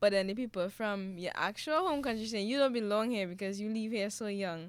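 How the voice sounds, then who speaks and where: A woman's fairly high voice, an ordinary speaking voice with ordinary pitch variation, on a very clean recording with a silent background. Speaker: mother. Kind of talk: family conversation.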